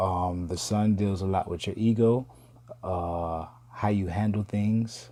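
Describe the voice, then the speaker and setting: At a very slow pace, a man speaks in a dark, mellow tone. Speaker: astrology video host. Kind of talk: casual talk to viewers. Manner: casual, hesitant with fillers.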